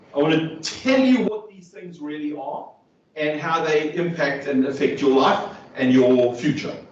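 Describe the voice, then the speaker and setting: This man talks at a fairly slow pace in a fairly high pitch, with ordinary pitch variation. His loudness swings widely, and audible room echo surrounds him. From South Africa. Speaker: neurodiversity trainer and speaker. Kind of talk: workshop talk. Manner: conversational, checks in with audience.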